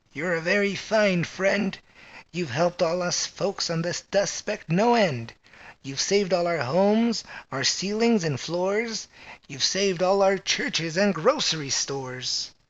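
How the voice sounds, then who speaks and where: A man's put-on character voice, high in pitch, with lively intonation and a moderate pace. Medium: read story.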